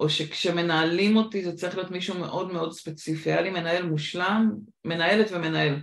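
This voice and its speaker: A woman with an English accent, fairly low pitch and vocal fry. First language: English (speaking Hebrew). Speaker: podcast host, recruitment consultant. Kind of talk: interview (being interviewed).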